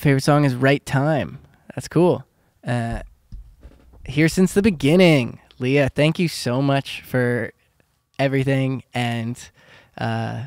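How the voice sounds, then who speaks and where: A man with a General American accent speaks very slowly, with long, frequent pauses. His pitch is medium with ordinary variation, and the sound is dry and close with no echo. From US Pacific Northwest, Seattle. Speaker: singer and YouTuber. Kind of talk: livestream chat reading comments. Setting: home livestream. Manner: casual, hesitant with many fillers.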